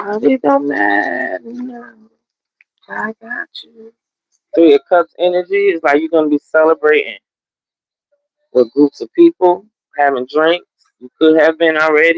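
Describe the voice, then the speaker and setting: The speaker talks at a fairly slow pace in an American accent, with long, frequent pauses. Music plays in the background. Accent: Southern country Gullah Geechee. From US South, Gullah Geechee coast. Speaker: tarot reader. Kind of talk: livestream tarot reading. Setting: live stream. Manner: casual, conversational.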